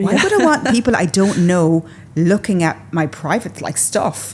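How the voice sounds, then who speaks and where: Noticeable background noise beneath lively, fairly quick speech. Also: woman. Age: 40s. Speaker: fashion content creator and stylist. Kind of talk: podcast interview answer. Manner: casual, chatty.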